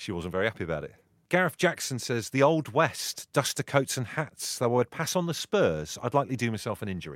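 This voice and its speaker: A medium-pitched man's voice with vocal fry and very wide pitch swings, at a fairly quick pace, in a dry, close sound with no echo. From Liverpool, England. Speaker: podcast host. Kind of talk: casual chat. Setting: video call.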